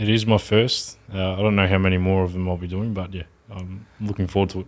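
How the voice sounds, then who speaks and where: Very fast, monotone speech from a man with a very deep, low pitch and an Australian accent. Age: 20s. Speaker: social media marketing agency owner. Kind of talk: podcast interview answer. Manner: articulate.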